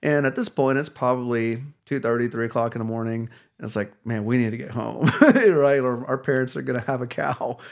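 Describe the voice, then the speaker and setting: A man with a plain, everyday voice speaks in an American accent at medium pitch, a moderate pace and fairly even intonation. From Texas, Dallas area. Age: 30s. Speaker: chiropractor. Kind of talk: casual interview chat.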